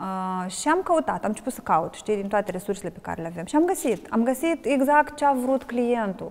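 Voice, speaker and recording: A woman with a Moldovan accent speaks at a moderate pace, with a fairly high pitch and hardly any pauses. Her pitch swings very widely, and her loudness shifts in big swings. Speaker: wine ambassador and blogger. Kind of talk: interview.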